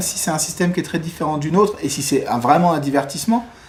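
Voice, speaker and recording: A man talks at a fairly quick pace in a high pitch with ordinary pitch variation. Noticeable background noise runs underneath. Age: 30s. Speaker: film director and former doctor. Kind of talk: interview. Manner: halting, many hesitations.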